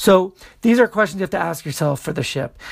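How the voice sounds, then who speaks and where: Vocal fry runs through the man's voice. His pitch swings very widely. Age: 40s. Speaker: DJ and podcast host. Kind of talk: casual podcast monologue.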